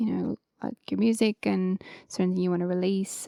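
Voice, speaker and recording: The sound is dry and close, with no echo. A woman speaks with a slight Irish accent. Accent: Irish, slight lilt. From Ireland, County Wicklow. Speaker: singer-songwriter. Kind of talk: interview. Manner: casual, many fillers.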